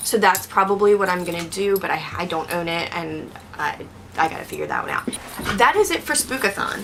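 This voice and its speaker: Speech at a moderate pace, with noticeable background noise. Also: woman. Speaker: booktuber. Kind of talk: casual vlog talk.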